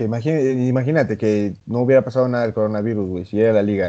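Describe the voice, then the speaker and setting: A man of medium pitch talks at a very fast pace with fairly even intonation. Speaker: podcast co-host. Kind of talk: casual chat.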